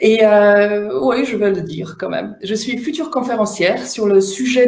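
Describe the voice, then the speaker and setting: Audible room echo surrounds a woman speaking at a fairly slow pace in a Polish accent. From Poland. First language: Polish (speaking French). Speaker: facilitator and trainer. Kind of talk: online workshop talk. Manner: loud, smiling delivery.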